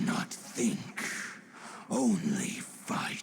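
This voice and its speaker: The delivery in this put-on character voice is very slow. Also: man. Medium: machinima. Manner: grave, formal.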